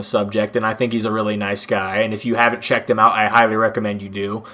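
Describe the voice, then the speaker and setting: A man rattles along at a very fast pace with noticeable background noise around him. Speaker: gaming YouTuber. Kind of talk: casual rant. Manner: animated.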